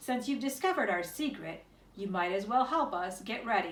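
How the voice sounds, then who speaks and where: A put-on, gruff character voice from a woman, medium in pitch, with lively intonation at a moderate pace. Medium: read story.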